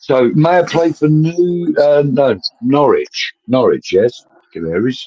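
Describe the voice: A man's slow speech in a dark, mellow tone at a fairly high pitch. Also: ordinary pitch variation.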